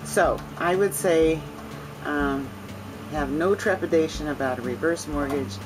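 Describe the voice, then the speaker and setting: A woman's voice with music in the background. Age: 70s. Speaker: reverse mortgage client. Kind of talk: testimony. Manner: halting.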